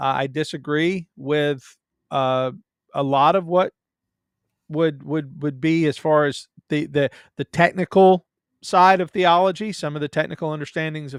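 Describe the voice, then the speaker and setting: A man with a Southern US accent, fairly high in pitch with ordinary pitch variation, in a dry, close recording with no echo, very clean with a silent background. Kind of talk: casual chat. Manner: halting.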